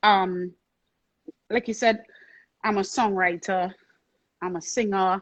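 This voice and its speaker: Speaking at a fairly slow pace with long, frequent pauses, a woman with a Trinidadian accent keeps a medium pitch and fairly even intonation. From Trinidad and Tobago. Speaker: soca singer and songwriter. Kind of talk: interview. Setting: live-streamed video interview.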